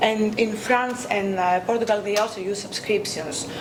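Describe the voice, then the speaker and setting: In a Greek accent, a woman speaks at a moderate pace and medium pitch with fairly even intonation. Audible room echo and noticeable background noise are present. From Greece. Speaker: academic researcher. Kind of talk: conference talk. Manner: hesitant, many fillers.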